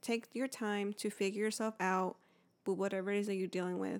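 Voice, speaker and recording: On a very clean recording with a silent background, a woman speaks at medium pitch with monotone, flat intonation. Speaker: podcast co-host. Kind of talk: casual chat. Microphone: new handheld mic.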